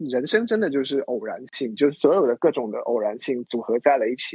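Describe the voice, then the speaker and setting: This man has an unremarkable speaking voice, pitched fairly high, with lively intonation at a moderate pace. The sound is dry and close, with no echo. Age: 30s. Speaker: designer and illustrator, lifestyle blogger. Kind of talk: casual interview chat.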